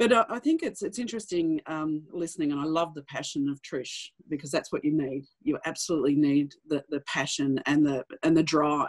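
With an Australian accent, a woman speaks at a moderate pace with hardly any pauses. Her pitch is very deep and low, with ordinary variation, against a quiet background. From regional Australia. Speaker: bank managing director; panelist. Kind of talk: webinar panel discussion. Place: home room. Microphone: video call.

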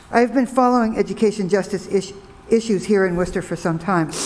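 A fairly quick delivery over light background noise. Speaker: member of public commenting. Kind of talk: public comment statement. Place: hall. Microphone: podium.

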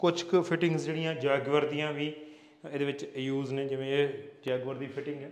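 This man talks at a fairly quick pace in a medium pitch, his voice moving very little in pitch.

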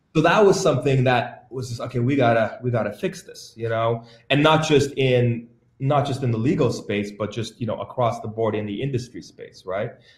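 Somewhat breathy, the voice swings widely in loudness amid audible room echo. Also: man, ordinary pitch variation, moderate pace. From Calgary, western Canada; Alberta, Canada. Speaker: entertainment lawyer. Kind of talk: panel interview. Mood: relaxed, reflective. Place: home room. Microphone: video call.

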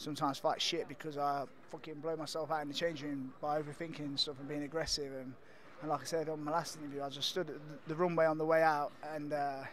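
Very fast and monotone, a man talks with flat intonation over a dry sound with no echo and light background noise. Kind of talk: interview answer. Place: hall. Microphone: handheld.

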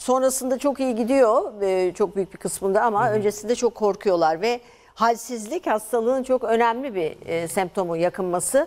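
Hardly pausing, a woman talks at a moderate pace and a fairly high pitch with ordinary pitch variation. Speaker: endocrinology professor. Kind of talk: medical interview. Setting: studio. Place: studio. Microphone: lapel.

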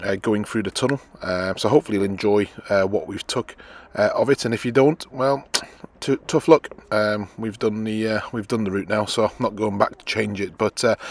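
A man with a fairly low voice talks at a moderate pace in a normal speaking voice, with ordinary pitch variation and a dry sound with no echo. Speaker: motorhome travel vlogger. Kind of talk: casual vlog narration.

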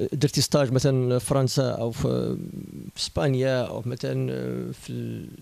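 At a fairly slow pace, a man speaks in a dry sound with no echo. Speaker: interviewer for web channel. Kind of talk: interview. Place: office. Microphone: handheld.

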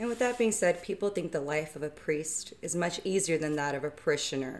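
Her voice is an ordinary speaking voice, fairly low in pitch for a woman. She keeps a moderate pace. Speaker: youth ministry volunteer and interviewer. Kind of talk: interview. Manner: formal.

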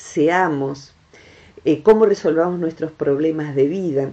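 Speaking at a very slow pace, the woman has a dark, mellow tone. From Argentina. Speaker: radio host, national broadcaster. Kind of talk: radio interview host. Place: studio.

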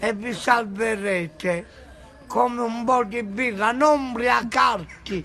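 Over light background noise, a man speaks in a raised, projected voice with ordinary pitch variation. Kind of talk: casual selfie monologue. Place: street. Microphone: phone near.

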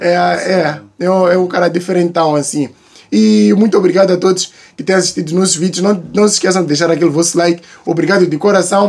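Here a man speaks with a high pitch. His pace is fairly quick. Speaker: YouTuber reacting to videos. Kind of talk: casual reaction commentary. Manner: animated.

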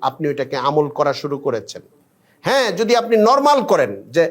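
A man speaks with very wide pitch swings. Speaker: Islamic scholar / preacher. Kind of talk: religious talk.

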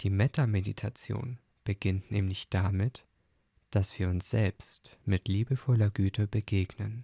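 Speaking at a fairly slow pace in a calm, soothing tone, a man with a fairly low, somewhat breathy voice keeps his intonation fairly even and his loudness very even, on a very clean recording with a silent background and a dry, close sound with no echo. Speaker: podcast host and meditation guide. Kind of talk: guided meditation. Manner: calm, slow, soothing; gentle, soft-spoken.

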